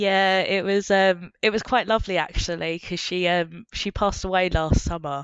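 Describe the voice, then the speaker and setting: At a moderate pace and with hardly any pauses, a woman speaks with an Essex accent, her medium pitch held in fairly even intonation. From Essex, England. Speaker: marine biologist. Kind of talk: casual chat. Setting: in-person podcast recording.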